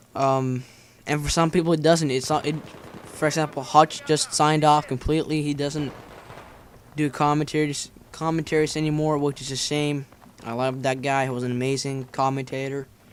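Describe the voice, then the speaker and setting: Noticeable background noise sits behind a man whose fairly high pitch stays monotone and flat. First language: Finnish. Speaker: gaming commentator. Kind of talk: gameplay commentary vlog. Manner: fast, stuttering.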